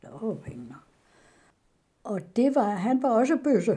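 A woman's dark, mellow voice with very wide pitch swings at a very slow pace. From Denmark, West Jutland (Ringkøbing). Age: 90s. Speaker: interviewee recounting her life. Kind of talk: oral history interview. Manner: halting.

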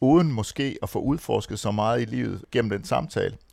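An ordinary speaking voice, a man at medium pitch with ordinary pitch variation, on a very clean recording with a silent background. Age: 50s. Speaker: men's centre director. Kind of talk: round-table discussion.

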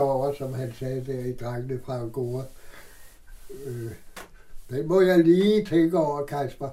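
Against noticeable background noise, a man with a fairly high voice talks fairly slowly. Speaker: theatre person, Christiania resident. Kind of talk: interview, personal recollection. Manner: halting.

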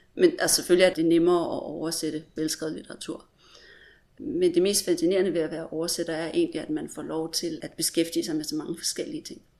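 Delivered at a very fast pace, the speech shows big swings in loudness. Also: woman. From Denmark. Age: 40s. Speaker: literary translator. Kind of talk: interview.

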